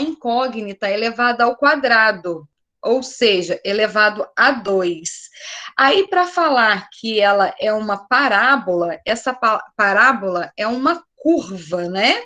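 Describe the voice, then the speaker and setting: Her bright, sharp tone and fairly high pitch mark this woman, who speaks at a very slow pace with lively intonation. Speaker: math teacher. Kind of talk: online class lecture.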